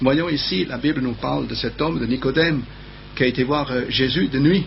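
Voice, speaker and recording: A man's medium-pitched voice with vocal fry and ordinary pitch variation, at a moderate pace, with audible room echo. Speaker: preacher. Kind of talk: sermon. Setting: TV studio. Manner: halting.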